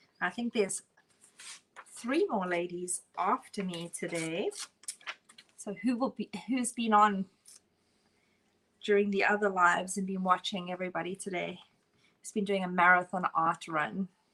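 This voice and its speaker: A woman with a strong South African accent, at a moderate pace with long, frequent pauses and fairly even intonation. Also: medium pitch for a woman, big swings in loudness. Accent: South African, still strong. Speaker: art instructor. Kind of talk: live painting tutorial. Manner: casual, chatty.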